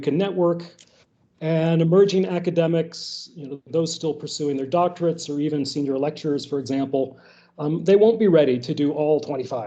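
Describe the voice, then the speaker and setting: A man with a high pitch and a dark, mellow tone talks at a fairly quick pace, with audible room echo. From United States. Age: 50s. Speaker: philosophy professor. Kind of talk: workshop lecture.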